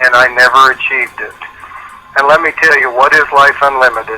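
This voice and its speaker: Noticeable noise runs behind a man whose intonation stays fairly flat. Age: 60s. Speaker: business opportunity distributor. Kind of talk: testimonial on a conference call.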